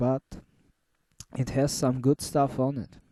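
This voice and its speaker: A man with a non-native accent speaks at a fairly slow pace in a dark, mellow tone. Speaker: music reviewer. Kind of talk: casual monologue review. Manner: halting.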